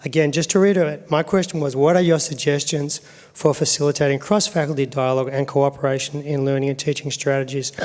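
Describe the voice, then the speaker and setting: Very fast speech from a man with a fairly high pitch, fairly even intonation and hardly any pauses. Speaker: associate dean and professor. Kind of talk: panel talk to academic audience.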